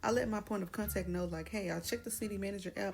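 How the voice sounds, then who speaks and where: A woman speaks with a Dallas accent. Music plays in the background. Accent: Dallas, Texas. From Texas, Dallas. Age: 20s. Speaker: vlogger, military service member. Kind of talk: casual vlog talk and voice-over.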